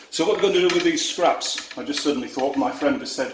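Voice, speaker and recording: Audible room echo surrounds a man talking fairly quickly. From Yorkshire, northern England. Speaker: tour operator. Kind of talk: cooking tutorial. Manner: casual, chatty.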